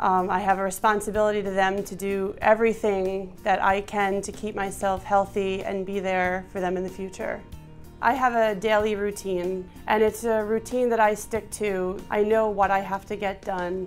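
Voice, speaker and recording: A woman talks at a moderate pace in a medium pitch with monotone, flat intonation. Music plays in the background. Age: 30s. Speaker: patient with cystic fibrosis. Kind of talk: testimony; tutorial.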